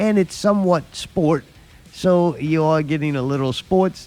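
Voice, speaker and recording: A man with an American accent, at a moderate pace. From US South. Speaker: podcast host. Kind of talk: casual chat.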